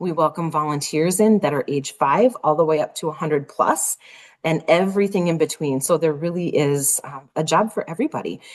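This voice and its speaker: A woman with a slight Minnesota accent, very deep and low in pitch, at a fairly quick pace. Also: ordinary pitch variation. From Minnesota, US. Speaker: nonprofit executive. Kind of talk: interview.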